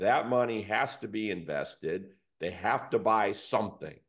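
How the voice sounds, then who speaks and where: A man speaks at a moderate pace in a fairly low voice, a normal speaking voice. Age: 60s. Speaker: business advisor and investor. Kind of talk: casual business discussion.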